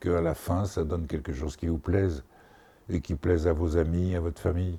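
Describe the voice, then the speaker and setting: In a very clean recording with a silent background, the voice has a dark, mellow tone, somewhat breathy, with fairly even intonation at a moderate pace. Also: man. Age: 70s. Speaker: painter. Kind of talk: interview. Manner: halting.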